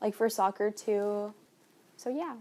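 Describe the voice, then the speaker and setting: A woman speaks at a fairly slow pace, her pitch medium with ordinary variation. The recording is very clean, with a silent background. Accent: Spanish. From Colombia. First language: Spanish. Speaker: university student. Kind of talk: casual interview.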